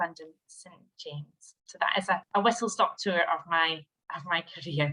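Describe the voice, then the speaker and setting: A woman with a Scottish accent, a bright, sharp tone and lively intonation. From Scottish Highlands. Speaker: HR director. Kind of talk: webinar presentation.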